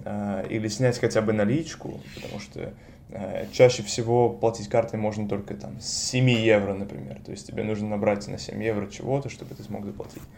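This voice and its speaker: Audible room echo surrounds a man whose dark, mellow tone moves with lively intonation at a moderate pace. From Russia, Saint Petersburg. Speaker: master's student in neuroscience. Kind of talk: interview.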